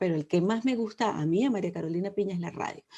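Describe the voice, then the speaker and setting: A woman speaks with a Venezuelan accent at a medium pitch, her tone dark and mellow. Her intonation is lively, and the background is quiet. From Venezuela, Caracas. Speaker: cultural journalist. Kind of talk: interview.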